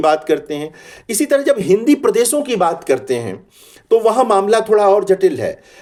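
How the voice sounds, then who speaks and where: Dark, mellow male voice with lively intonation and a Bihari accent. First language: Bhojpuri (speaking Hindi). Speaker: Hindi professor. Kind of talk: lecture. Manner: hesitant fillers, measured.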